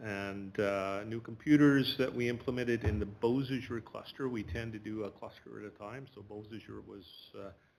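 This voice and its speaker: A man speaks with a Manitoban accent at a moderate pace. His voice is fairly low, with fairly even intonation. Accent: Canadian (Manitoba). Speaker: school division IT department head. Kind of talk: presentation to a board. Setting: board meeting room. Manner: loud.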